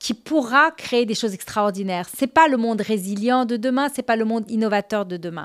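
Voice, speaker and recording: A woman with lively intonation on a very clean recording with a silent background. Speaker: CEO, women's governance advocate. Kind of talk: interview conversation.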